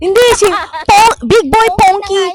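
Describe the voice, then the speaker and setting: A loud voice with an energetic tone. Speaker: vlogger. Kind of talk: casual chat.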